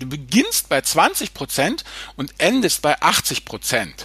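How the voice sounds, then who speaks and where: This man's voice sits fairly high and leaps through very wide rises and falls in pitch. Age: 50s. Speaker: finance blogger. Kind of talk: casual chat. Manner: halting.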